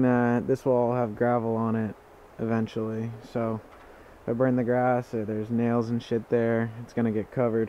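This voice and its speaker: A man speaks at a moderate pace in a dark, mellow tone with monotone, flat intonation. The sound is dry with no echo, with light background noise. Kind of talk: casual vlog chat. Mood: mildly annoyed, relaxed. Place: open country.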